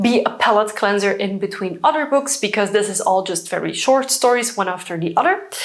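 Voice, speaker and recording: Over noticeable background noise, a woman with a Flemish Belgian accent speaks in a fairly high pitch with lively intonation. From Belgium (Dutch-speaking). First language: Dutch. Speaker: book vlogger. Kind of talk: casual vlog talk. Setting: at home by bookshelves.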